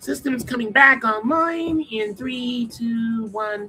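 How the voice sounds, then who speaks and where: A man speaks in a put-on character voice, squeaky and extremely high-pitched. He talks very slowly over faint background music. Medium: read story.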